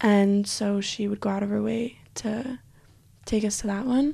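A woman with a Western US accent speaks at a moderate pace, her fairly high pitch carrying a dark, mellow tone. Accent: American (Western US). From Utah. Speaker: university student. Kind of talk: casual interview.

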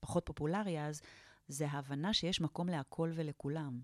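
A woman speaks at a moderate pace in a very deep, low pitch, with a dry, close sound with no echo in a very clean recording with a silent background. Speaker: positive psychology therapist and lecturer. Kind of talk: interview.

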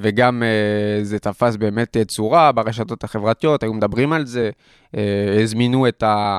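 With a French accent, a man talks at a moderate pace, medium in pitch and fairly even in intonation. The sound is dry and close with no echo, over a quiet background. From France (Paris). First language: French (speaking Hebrew). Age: 20s. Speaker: student entrepreneur, nonprofit CEO. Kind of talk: interview conversation. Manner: hesitant, many fillers.

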